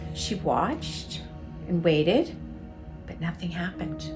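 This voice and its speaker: A woman talks rather unhurriedly as music plays behind her. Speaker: author and storyteller. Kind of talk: ghost story reading.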